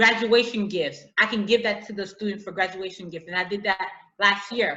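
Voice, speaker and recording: With an American accent, a woman speaks at medium pitch. Her pace is moderate and her intonation fairly even. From US inner city, Haitian family. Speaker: author and teacher. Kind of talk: interview. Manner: halting, repeats words.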